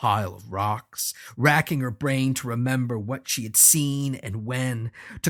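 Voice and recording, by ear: Someone is reading aloud in a natural voice.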